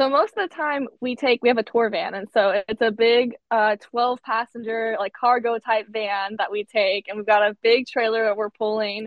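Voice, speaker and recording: This woman has a normal speaking voice, fairly high in pitch, talking at a moderate pace with fairly even intonation and hardly any pauses. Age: 20s. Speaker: musician in a sister band. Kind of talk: interview. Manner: casual, filler-heavy.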